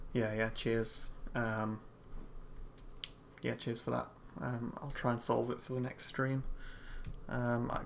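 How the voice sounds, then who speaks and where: Speech at a moderate pace comes from a soft-spoken voice. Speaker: 3D artist streaming his work. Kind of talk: live stream tutorial-style commentary. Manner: halting, many fillers. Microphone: USB condenser mic, too quiet, close to keyboard.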